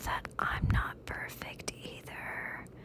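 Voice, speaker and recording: Very slowly, a woman whispers. Background noise is noticeable throughout. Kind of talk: ASMR whisper rambling. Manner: whispered, soft-spoken, slow.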